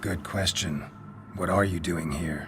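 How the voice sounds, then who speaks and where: A man puts on a character voice, very deep and low in pitch. Clear background noise sits behind him. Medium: video game. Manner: terse, clipped.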